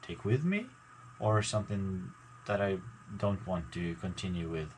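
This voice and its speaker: Mumbled, somewhat breathy speech. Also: man. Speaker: gaming YouTuber. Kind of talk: casual vlog talk to viewers. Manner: mumbling; halting, many fillers.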